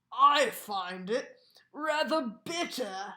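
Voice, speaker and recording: This is a put-on character voice that sounds female. It sits at a fairly high pitch. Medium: read story. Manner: grumbling.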